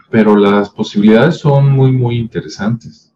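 This man's voice has a dark, mellow tone and a fairly low pitch. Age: 50s. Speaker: video commentator. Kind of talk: casual monologue. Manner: conversational with many fillers.

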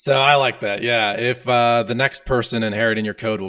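A man talks at a moderate pace with ordinary pitch variation. He has a plain, everyday voice. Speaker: podcast host, programming educator. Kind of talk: casual technical interview. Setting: live-streamed video call.

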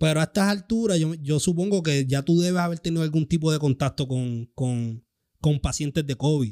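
In a very clean recording with a silent background, a man with a Puerto Rican accent speaks at a moderate pace in a dark, mellow tone. His pitch is fairly high with ordinary variation, and his loudness is very even. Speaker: podcast host. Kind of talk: casual chat.

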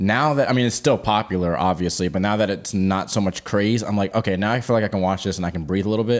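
A man with a fairly low pitch speaks in a playful, animated tone. He goes at a very fast pace with hardly any pauses. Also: ordinary pitch variation. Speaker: podcast co-host, singer-songwriter. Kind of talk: casual chat, Q&A episode. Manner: playful, animated, joking.

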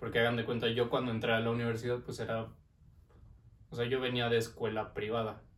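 A Mexico City accent, very fast but with long, frequent pauses, monotone, flat intonation and audible room echo. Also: man, medium pitch for a man. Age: 20s. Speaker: business administration graduate. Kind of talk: casual chat.

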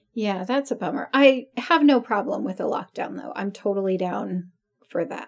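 A woman with a normal speaking voice at medium pitch talks at a moderate pace, her intonation lively and her loudness swinging widely. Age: 40s. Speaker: podcast co-host. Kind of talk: casual chat.

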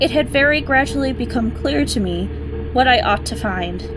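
A woman talks at moderate speed as music plays in the background. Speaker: audiobook narrator. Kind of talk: dramatic narration. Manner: tense, hushed, suspenseful, building dread.

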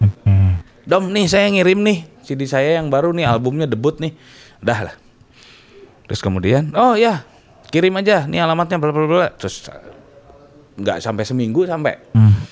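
He talks in a fairly high pitch with very wide pitch swings, and the speaker is a man. His moderate pace is broken by long, frequent pauses. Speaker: metal musician. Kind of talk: casual interview chat.

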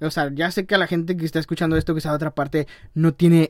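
A man talks very fast in a fairly high pitch. The sound is dry and close, with no echo. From Tamaulipas, Mexico. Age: young. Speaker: podcaster and YouTuber. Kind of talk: casual monologue. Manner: animated.

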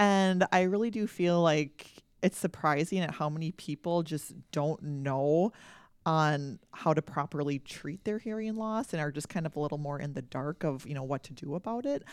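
A woman with an Upper Midwest accent talks at a moderate pace in a very deep, low pitch, the sound dry and close with no echo. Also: ordinary pitch variation. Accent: Upper Midwest American. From North Dakota, small town. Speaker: audiologist. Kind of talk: interview.

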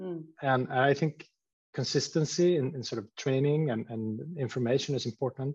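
With a Swedish accent, a man with a fairly high, somewhat breathy voice talks at a moderate pace, his pitch varying in an ordinary way and his loudness swinging widely, recorded dry and close with no echo. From Sweden, Stockholm. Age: 40s. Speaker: company CEO. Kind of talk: interview.

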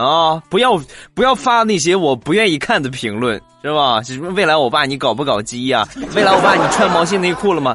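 A man with a Shandong accent at a fairly quick pace, very wide pitch swings, noticeable background noise behind him. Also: fairly high pitch for a man. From Shandong, China. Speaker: podcast host. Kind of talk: comedic talk show. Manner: animated.

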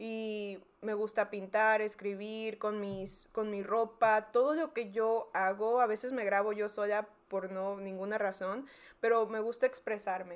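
On a very clean recording with a silent background, a woman speaks at a fairly slow pace and a fairly high pitch. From South Texas border, McAllen. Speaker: podcast co-host. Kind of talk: casual chat. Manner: animated.

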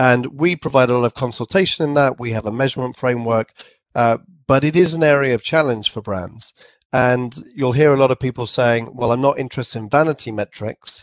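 A man with an English accent, medium pitch and ordinary pitch variation, at a fairly quick pace in a dry, close sound with no echo against a quiet background. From England. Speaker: company CEO. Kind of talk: casual interview.

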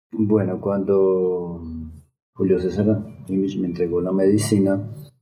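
A man's very deep, low voice at a very slow pace, with audible room echo and music in the background. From Colombia, Bogotá. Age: 40s. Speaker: shamanic medicine healer. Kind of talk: podcast interview.

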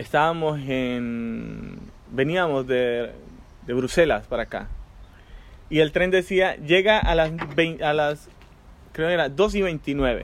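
A fairly high-pitched man with a Colombian accent, at a very slow pace with long, frequent pauses and ordinary pitch variation. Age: 30s. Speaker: migrant guest. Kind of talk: casual chat.

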